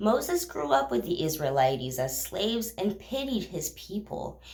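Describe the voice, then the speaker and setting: A woman's fairly low voice with very wide pitch swings at a moderate pace, amid noticeable background noise and audible room echo. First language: not English. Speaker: bible reading vlogger. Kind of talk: casual retelling of scripture. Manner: halting, with fillers.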